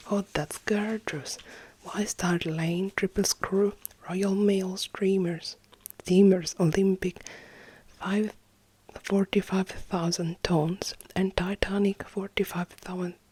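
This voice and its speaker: A soft-spoken woman at a medium pitch talks very slowly in a monotone, flat delivery, recorded dry and close with no echo. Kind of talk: ASMR roleplay reading of replica papers.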